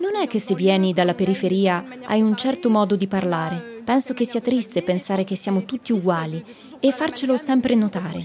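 A woman talks at a fairly quick pace with a medium pitch and lively intonation. Noticeable background noise is present. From France, Nanterre banlieue. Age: young. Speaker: student. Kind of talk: interview testimony.

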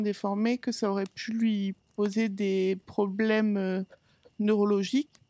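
The recording sounds dry and close, with no echo. A woman speaks fairly slowly at a fairly high pitch. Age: 30s. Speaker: podcast guest sharing her experience of bipolar disorder. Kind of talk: personal testimony.

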